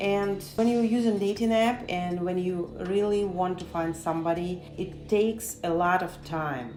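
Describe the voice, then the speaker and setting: Over music in the background and with audible room echo, a woman with a non-native accent speaks at a medium pitch and a fairly slow pace, with hardly any pauses and ordinary pitch variation. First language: not English. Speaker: interviewee. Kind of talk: interview.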